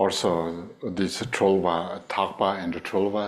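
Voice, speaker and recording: Speaking at a very slow pace, a man with a Tibetan accent holds a very deep, low pitch in a monotone, flat intonation. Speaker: Buddhist teacher. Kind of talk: dharma teaching. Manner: halting, many fillers.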